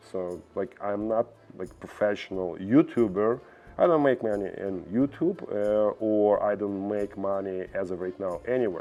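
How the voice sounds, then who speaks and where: A man with a Russian accent, fairly low in pitch, at a fairly slow pace. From Belarus. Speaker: vlogger. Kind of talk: opinion monologue. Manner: halting.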